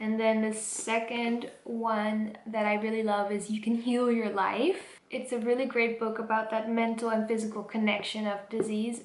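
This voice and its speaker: A woman with a Dutch accent talks at a moderate pace with hardly any pauses, fairly high in pitch and monotone, flat in intonation. Noticeable background noise is present. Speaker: vlogger. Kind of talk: casual vlog talk.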